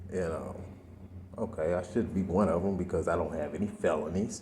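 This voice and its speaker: In a room with audible echo, a man speaks quietly and somewhat breathily at a fairly slow pace, his very deep, low voice showing ordinary pitch variation. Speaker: vlogger. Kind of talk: personal vlog monologue. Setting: library. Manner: quiet, talking low.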